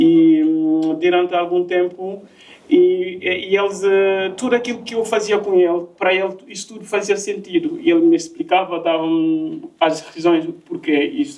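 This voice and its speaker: Speaking in a French accent, a man talks at a moderate pace in a high voice with lively intonation. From Guinea (Conakry). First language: French (speaking Portuguese). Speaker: migrant sharing his story, project worker. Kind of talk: personal testimony in panel talk. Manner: halting, many fillers and repetitions.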